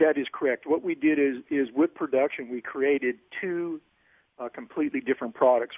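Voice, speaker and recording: A plain, everyday voice at a moderate pace. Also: man. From Oroville, California. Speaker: professional bass angler. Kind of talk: interview.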